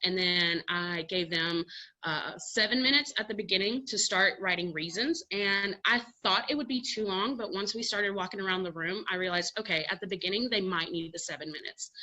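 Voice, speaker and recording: Bright and sharp in tone, a woman's voice sits at a medium pitch with ordinary pitch variation. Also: fairly quick pace. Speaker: middle school agriculture teacher. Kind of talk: conference presentation. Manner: fast.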